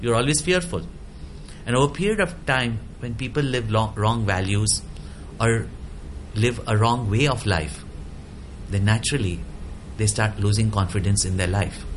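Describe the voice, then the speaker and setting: At a moderate pace, a man with lively intonation takes long, frequent pauses amid noticeable background noise. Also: fairly low pitch for a man. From India. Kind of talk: interview.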